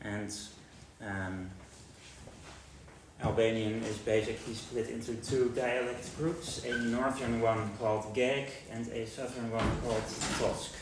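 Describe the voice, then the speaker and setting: A man with a Dutch accent at medium pitch, fairly slow and fairly even, with long, frequent pauses, audible room echo and noticeable background noise. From Netherlands. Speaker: linguistics researcher. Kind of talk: lecture. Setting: university seminar with audience. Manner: hesitant with frequent fillers.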